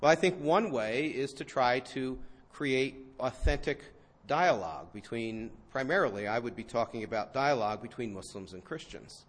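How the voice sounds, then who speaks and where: A man at medium pitch and moderate pace, with lively intonation and big swings in loudness. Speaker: professor. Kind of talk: lecture. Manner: mild-mannered, understated.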